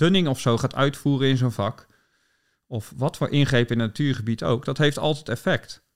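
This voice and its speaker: A man with a normal speaking voice, medium pitch and ordinary pitch variation at a moderate pace, on a very clean recording with a silent background. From Netherlands, southwest Delta region. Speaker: ecologist and bird researcher. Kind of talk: interview.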